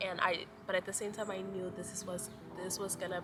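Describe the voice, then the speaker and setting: Speaking at a moderate pace with an American accent, a woman's medium-pitched voice comes through over noticeable background noise. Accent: sounds American. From Mozambique. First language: Portuguese. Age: 20s. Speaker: lifestyle vlogger. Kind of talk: casual chat. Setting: outdoors in a park.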